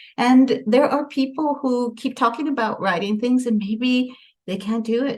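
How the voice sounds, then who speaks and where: Her voice somewhat breathy, a woman talks with an American accent at a moderate speed. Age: 60s. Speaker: author and radio co-host. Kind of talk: casual chat. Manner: halting.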